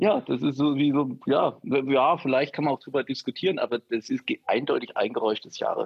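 At a moderate pace, a man with a fairly high pitch and a plain, everyday voice speaks with ordinary pitch variation. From former East Germany. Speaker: podcast co-host. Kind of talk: casual chat. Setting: video call.

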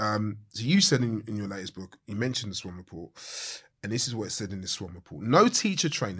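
The speaker talks at a very fast pace with a London accent. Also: man. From Southeast London, Blackheath. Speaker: podcast host, charity worker. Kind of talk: interview.

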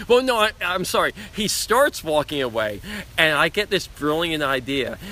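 With a New York accent, the speaker keeps a moderate pace while the pitch swings very widely. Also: man. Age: 40s. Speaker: BMX rider and endurance cyclist. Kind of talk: casual interview. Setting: outdoors. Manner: enthusiastic.

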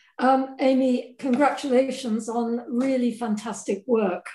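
At a moderate pace, a woman with a high pitch and a dark, mellow tone talks with fairly even intonation. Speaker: academic audience member. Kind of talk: Q&A question. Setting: video call. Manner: halting.

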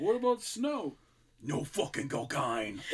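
Putting on a character voice, a man speaks at a fairly slow pace with a fairly high pitch that swings very widely. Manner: emphatic, swearing.

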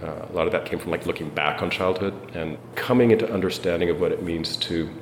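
Noticeable background noise and audible room echo fill the recording. A man with a very deep, low pitch talks at a fairly quick pace with ordinary pitch variation. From South Africa. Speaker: university provost. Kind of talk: interview.

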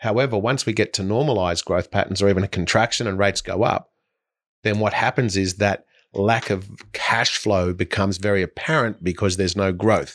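At a fairly quick pace, a man speaks in a plain, everyday voice with a fairly low pitch. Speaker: property investment director and podcast co-host. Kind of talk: casual podcast discussion.

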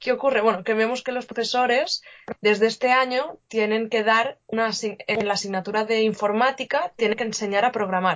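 A woman talks in an unremarkable speaking voice, pitched fairly high. She moves at a fairly quick pace with fairly even intonation. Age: 20s. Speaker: coding teacher and startup founder. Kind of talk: casual interview.

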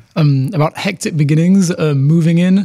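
A man with a London accent, a dark, mellow tone and ordinary pitch variation. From London, England. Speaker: international student. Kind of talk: casual interview. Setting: studio.

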